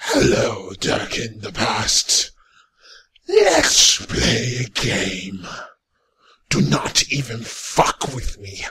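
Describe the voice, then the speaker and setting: A raspy, put-on character voice at a very slow pace, broken by long, frequent pauses. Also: man, medium pitch for a man. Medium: voice reel. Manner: menacing, threatening.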